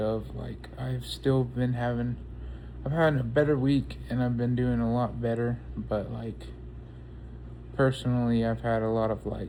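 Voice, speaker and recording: Audible room echo around a man talking at a fairly slow pace. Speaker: vlogger. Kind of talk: casual personal talk to camera. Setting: outdoors. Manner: halting, stuttering; calm.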